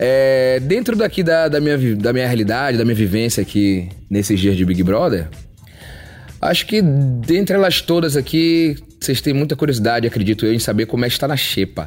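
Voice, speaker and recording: A man with a medium pitch talks at a moderate pace, his pitch swinging very widely while his loudness stays very even. Music plays in the background. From Salvador, Bahia, Brazil. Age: 30s. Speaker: reality show contestant. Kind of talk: casual monologue to camera.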